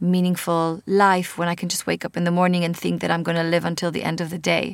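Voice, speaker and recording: A woman with an Israeli accent talks at a very fast pace in a monotone, flat intonation. The recording is very clean, with a silent background. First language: Hebrew. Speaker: podcast host and author. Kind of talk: casual interview.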